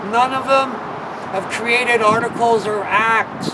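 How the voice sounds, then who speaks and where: A man with a Canadian accent uses a raised, projected voice at a high pitch with monotone, flat intonation, amid noticeable background noise and audible room echo. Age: 60s. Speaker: political party leader. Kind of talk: political rant.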